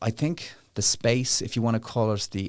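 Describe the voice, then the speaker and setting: Against a very clean, silent background, a man speaks in an Irish accent with fairly even intonation. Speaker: legal charity director. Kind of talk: interview. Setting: studio. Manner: fast.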